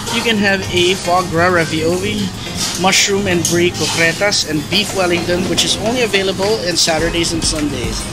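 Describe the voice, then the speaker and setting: Clear music plays behind a man's voice. He speaks at a moderate pace with ordinary pitch variation. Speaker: food vlogger. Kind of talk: casual vlog commentary. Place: cafe. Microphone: phone near.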